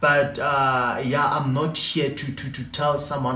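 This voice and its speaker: A man speaks at a fairly high pitch. Noticeable background noise and audible room echo are present. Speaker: YouTuber. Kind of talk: storytime monologue. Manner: halting.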